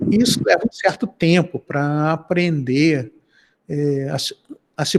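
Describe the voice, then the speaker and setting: The speaker is a man with a fairly high pitch. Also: dry, close sound with no echo. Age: 60s. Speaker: professor. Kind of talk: interview. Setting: video call.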